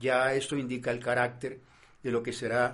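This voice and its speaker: At a moderate pace, a man with a medium pitch talks in a monotone, flat intonation. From Colombian Caribbean coast (Barranquilla). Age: 70s. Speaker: drama professor and researcher. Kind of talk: reading aloud a research text.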